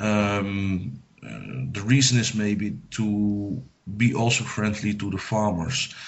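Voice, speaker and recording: Very slowly and with fairly even intonation, a man speaks at a fairly low pitch amid audible room echo. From Netherlands. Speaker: psychic medium. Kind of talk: radio interview. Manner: halting, many hesitations.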